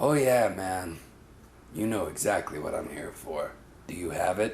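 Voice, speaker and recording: A man puts on a raspy character voice at a fairly low pitch, with lively intonation and a moderate pace. Background noise is clearly audible. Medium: short film. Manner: exaggerated, comic.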